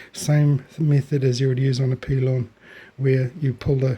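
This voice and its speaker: A man speaks at a fairly slow pace in a medium pitch, his tone dark and mellow. The delivery is somewhat breathy, with monotone, flat intonation. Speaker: hobby tobacco grower. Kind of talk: casual video tutorial. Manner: hesitant, many fillers.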